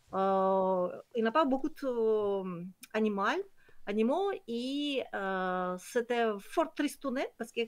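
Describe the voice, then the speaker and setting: A woman with a Kyrgyz accent speaks at a very slow pace. Her pitch is fairly high, and her intonation is lively. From Kyrgyzstan. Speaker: nature conservation project founder. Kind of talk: online presentation. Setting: video call. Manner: halting, many hesitations.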